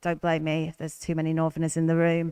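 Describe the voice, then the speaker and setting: A woman speaks at a fairly low pitch with a northern English accent. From northern England. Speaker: election candidate. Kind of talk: hustings panel answer.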